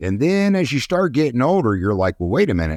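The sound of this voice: Slightly mellow tone with big pitch swings, a fairly quick pace, and a dry, close sound with no echo on a very clean recording with a silent background. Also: man, medium pitch for a man.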